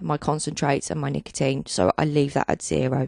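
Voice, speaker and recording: A woman is speaking. The sound is dry with no echo, and the background is quiet. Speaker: software tutorial narrator. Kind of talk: tutorial. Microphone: handheld.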